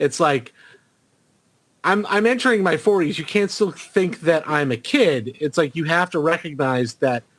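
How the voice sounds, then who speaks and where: A man's fairly high-pitched voice with lively intonation at a moderate pace, on a very clean recording with a silent background. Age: 30s. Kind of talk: casual chat. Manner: halting, many fillers.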